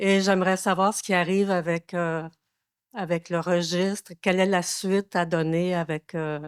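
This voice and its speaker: A woman's fairly low voice at a fairly slow pace, monotone and flat, in a dry, close sound with no echo on a very clean recording with a silent background. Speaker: citizen asking question. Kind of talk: public question at council meeting. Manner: loud.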